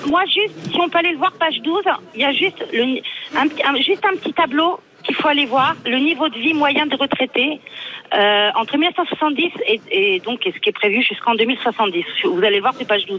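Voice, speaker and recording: A woman with a high pitch speaks in very wide pitch swings over noticeable background noise. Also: moderate pace. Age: 40s. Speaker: radio caller, logistics manager. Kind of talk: call-in opinion. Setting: phone call.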